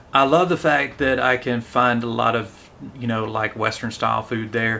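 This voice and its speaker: Fairly even intonation from a man at medium pitch. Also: moderate pace. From US South, Tennessee. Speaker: English teacher, live streamer. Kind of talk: live stream commentary and English lesson. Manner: casual, with fillers.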